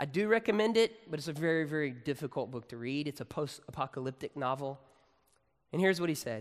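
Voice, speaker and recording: Lively in intonation, a man with an American accent talks at a very fast pace. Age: 30s. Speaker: pastor. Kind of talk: sermon. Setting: campus worship service with audience.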